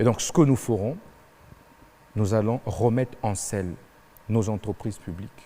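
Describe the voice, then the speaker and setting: Pausing often and at length, a man speaks at a moderate pace in a fairly low, dark and mellow voice with ordinary pitch variation. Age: 30s. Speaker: presidential candidate. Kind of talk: televised debate interview.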